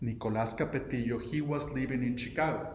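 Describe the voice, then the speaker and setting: With a Mexican accent, a man talks at a moderate pace in a room with audible echo and noticeable background noise. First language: Spanish. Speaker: entrepreneur. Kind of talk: recorded video message. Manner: halting, many fillers and restarts.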